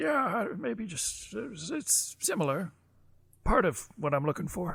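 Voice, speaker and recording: This raspy, put-on character voice moves at a fairly slow pace. Its pitch swings very widely. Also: man, high pitch for a man. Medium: actual play. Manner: hesitant, halting.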